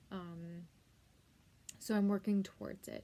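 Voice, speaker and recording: Somewhat breathy, a woman speaks at medium pitch with a dark, mellow tone. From US West Coast, San Diego, Southern California. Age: 20s. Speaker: beauty vlogger, aspiring makeup artist. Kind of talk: casual vlog talk to camera. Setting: at home. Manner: casual, many fillers.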